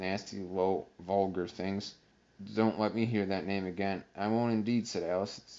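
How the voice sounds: Reading in a natural reading voice, the speaker keeps the intonation mostly level.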